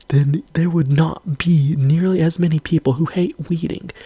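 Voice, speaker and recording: Whispering at a moderate pace. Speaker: video creator. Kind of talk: rant.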